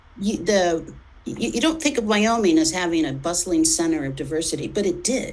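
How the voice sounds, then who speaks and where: With lively intonation and a fairly low pitch, a woman speaks at a moderate pace amid audible room echo. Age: 60s. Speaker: editor and journalist. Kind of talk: interview conversation. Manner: halting.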